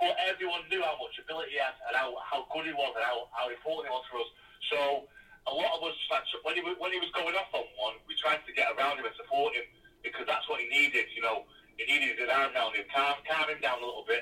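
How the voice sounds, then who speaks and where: A man talks at a very fast pace. He has a Mancunian accent. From northern England, Salford. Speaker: former footballer. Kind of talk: casual interview. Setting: away from home.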